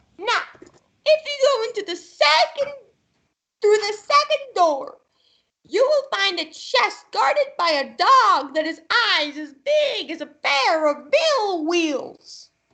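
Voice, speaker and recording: In a put-on character voice, a female-sounding speaker goes fairly slowly at an extremely high pitch, swinging very widely up and down. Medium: stage play. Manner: insistent, commanding.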